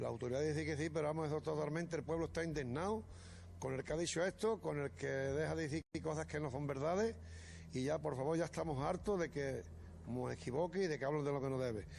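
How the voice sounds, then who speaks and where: A man with a fairly high pitch, lively intonation, very even loudness and a very fast pace. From Andalusia, Málaga province. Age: 60s. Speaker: grandfather of victim. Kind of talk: heated interview. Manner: animated.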